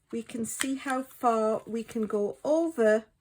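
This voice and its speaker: The speaker has a British accent. The pitch variation is ordinary. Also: woman. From Britain. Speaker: card-making crafter. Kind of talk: tutorial. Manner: casual.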